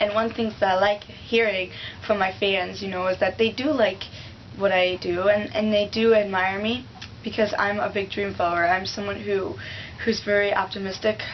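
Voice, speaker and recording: Against noticeable background noise, a woman speaks with fairly even intonation. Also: medium pitch for a woman, moderate pace. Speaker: singer. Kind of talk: interview. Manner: halting.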